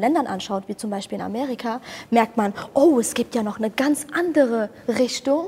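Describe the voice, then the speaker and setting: Over noticeable background noise, a woman speaks at a fairly quick pace and a fairly high pitch with ordinary pitch variation. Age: 20s. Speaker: comedian. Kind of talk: casual chat. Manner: loud.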